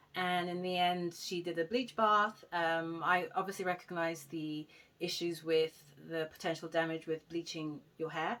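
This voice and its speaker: In a very clean recording with a silent background, a woman with a London accent speaks at a fairly low pitch with fairly even intonation. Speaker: hair vlogger. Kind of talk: casual vlog talk. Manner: fast.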